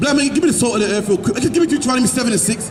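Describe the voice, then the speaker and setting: Ordinary pitch variation in a British accent, against noticeable background noise. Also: man. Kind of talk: street preaching sermon. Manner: emphatic, rhetorical.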